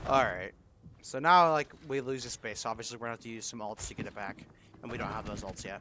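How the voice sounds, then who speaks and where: A man talks at a very fast pace. His medium-pitched voice has a bright, sharp tone. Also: ordinary pitch variation. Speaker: esports coach reviewing match footage. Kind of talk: gameplay vod review.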